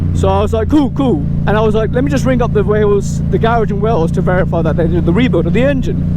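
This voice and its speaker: A man talks at a very fast clip with hardly any pauses, his loudness very even, over noticeable background noise and audible room echo. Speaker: motorcycle vlogger. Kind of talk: casual storytelling vlog while riding. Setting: riding a motorcycle outdoors. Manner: animated.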